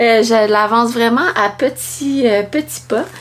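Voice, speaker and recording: A woman's fairly high voice with ordinary pitch variation, set against noticeable background noise. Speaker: knitting podcaster. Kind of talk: casual chat. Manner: halting, many fillers and pauses.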